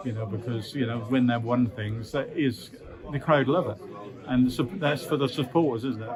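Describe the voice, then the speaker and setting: Noticeable noise sits in the background. The voice holds a middling speed and shows normal pitch movement. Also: man. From Norwich, England. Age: 70s. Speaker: retired professional footballer. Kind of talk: interview answer. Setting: event venue. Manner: casual, reminiscing.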